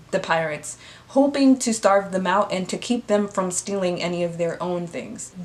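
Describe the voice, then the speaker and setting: A woman talks at a moderate pace in a medium pitch, with ordinary pitch variation. She has an ordinary speaking voice. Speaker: history storyteller. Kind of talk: casual educational talk to camera. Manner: casual, conversational.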